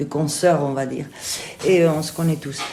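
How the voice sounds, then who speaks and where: Amid audible room echo and noticeable background noise, a woman with a slight Spanish accent speaks in a very deep, low pitch. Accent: slight singing Spanish. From Spain. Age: 50s. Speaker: theatre director and actress. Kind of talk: interview. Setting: theatre kitchen room. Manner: hesitant, many fillers.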